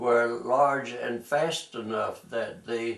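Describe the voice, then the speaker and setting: A man with a North Carolina accent, over noticeable background noise. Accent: US Southern (North Carolina). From North Carolina (Tarboro). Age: 80s+. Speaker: war veteran. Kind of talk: oral history interview. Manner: halting, with many fillers.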